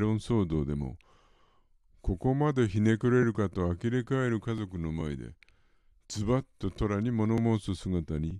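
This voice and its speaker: Dark and mellow in tone, a man speaks at a fairly low pitch with lively intonation. The sound is dry and close with no echo, over a quiet background. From Yokohama, Japan. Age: old. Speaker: podcast host, film fan. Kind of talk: prepared solo monologue.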